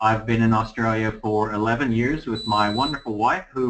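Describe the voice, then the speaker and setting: A man with an American accent and a plain, everyday voice, medium in pitch, at a fairly quick pace. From Los Angeles, California. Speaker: real estate agent. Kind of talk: presentation.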